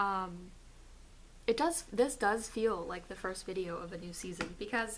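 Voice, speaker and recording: A medium-pitched woman's voice with ordinary pitch variation and audible room echo. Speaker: video blogger. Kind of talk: casual vlog. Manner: animated.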